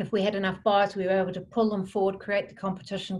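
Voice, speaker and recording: A somewhat breathy woman speaks with monotone, flat intonation over light background noise. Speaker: interviewee. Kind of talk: interview answer. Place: home room. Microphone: video call.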